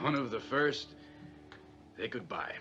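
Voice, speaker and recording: Using a put-on character voice, a man speaks at medium pitch with a raspy, weary tone while clear music plays in the background. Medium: short film. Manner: weary, bitter.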